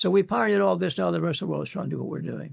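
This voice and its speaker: A man is speaking. The recording is very clean with a silent background. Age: 90s. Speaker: physician, preventive medicine pioneer. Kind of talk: interview answer.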